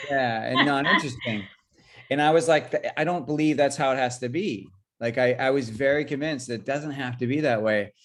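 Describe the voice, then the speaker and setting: This man talks at a fairly quick pace in a fairly high voice, with ordinary pitch variation. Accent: Californian. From California, San Jose. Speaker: chef. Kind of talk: interview. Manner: halting, many fillers.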